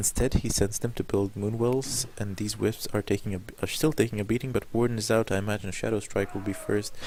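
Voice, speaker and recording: A man speaks quietly at a fairly quick pace in a fairly low pitch. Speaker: game commentator. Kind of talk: live commentary.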